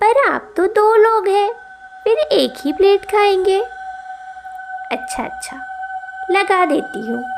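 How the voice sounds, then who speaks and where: A woman uses a cartoonish character voice at an extremely high pitch. She goes at a fairly slow pace with long, frequent pauses over clear background noise. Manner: sweet on the surface, sinister underneath.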